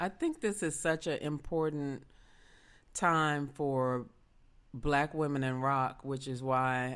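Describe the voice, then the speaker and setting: Speech in a Southern US accent comes at a very slow pace with fairly even intonation. The recording is very clean, with a silent background. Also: woman. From US South, Memphis. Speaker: podcast host. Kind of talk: interview.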